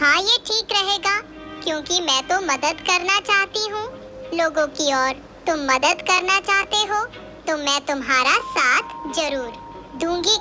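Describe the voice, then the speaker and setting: A female-sounding voice performs a cartoonish character voice at an extremely high pitch. Clear music plays in the background. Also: fairly slow pace. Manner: gentle, kindly.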